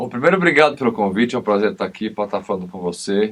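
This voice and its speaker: Man's fairly low voice, an unremarkable speaking voice, its pitch varying in an ordinary way. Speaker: criminal lawyer and TV commentator. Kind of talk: TV interview.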